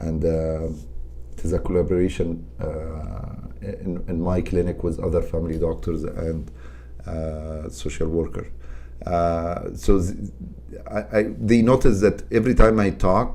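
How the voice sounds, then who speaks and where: Someone with a non-native accent talks at a fairly slow pace with lively intonation, and the room echo is audible. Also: man, very deep, low pitch for a man. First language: not English. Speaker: psychiatrist. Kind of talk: interview. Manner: halting.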